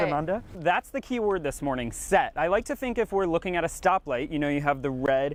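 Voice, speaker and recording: Upbeat in tone, a man with a high voice and an American accent talks at a fairly quick pace with lively intonation and hardly any pauses. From Arizona, United States. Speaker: television reporter and anchor. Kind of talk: casual morning show banter with co-anchors. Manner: upbeat, friendly.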